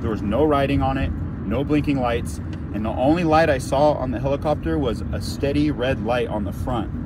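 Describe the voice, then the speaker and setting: There is noticeable background noise, but the sound is dry with no echo. A man speaks at a moderate pace. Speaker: storyteller vlogger. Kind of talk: casual vlog chat. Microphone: phone near.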